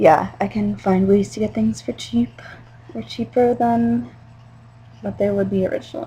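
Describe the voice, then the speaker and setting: Speaking at a moderate pace with an American accent, a woman uses fairly low pitch with very wide pitch swings and vocal fry. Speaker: vlogger. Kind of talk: casual video message to a friend.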